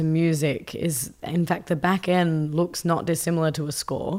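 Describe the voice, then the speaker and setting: A woman talks with an Australian accent at a moderate pace. She takes hardly any pauses. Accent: Australian, noticeable. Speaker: tech company CEO and designer. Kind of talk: casual interview.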